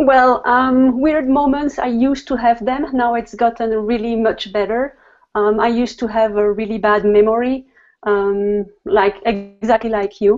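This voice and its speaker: A woman with a French accent, fairly high in pitch, fairly even in intonation and fairly slow in pace. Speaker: guest on health show. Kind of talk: casual chat. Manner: hesitant.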